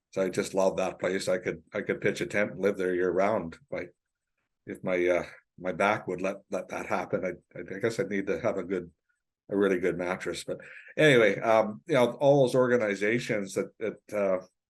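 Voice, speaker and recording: Speaking with a Canadian accent, a man talks at a moderate pace. His pitch is fairly low with ordinary variation. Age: 60s. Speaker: forestry non-profit executive director. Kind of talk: podcast interview. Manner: halting, many repetitions.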